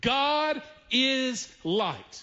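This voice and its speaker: A man speaks with a strong Southern US accent and ordinary pitch variation. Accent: deep Southern drawl. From US South. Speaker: pastor. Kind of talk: sermon. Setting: church. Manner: animated. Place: church. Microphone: headset.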